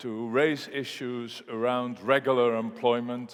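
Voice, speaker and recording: With a Dutch accent, a man of medium pitch speaks at a fairly slow pace. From Netherlands (Rotterdam). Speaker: economist. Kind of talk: conference keynote. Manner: halting with fillers.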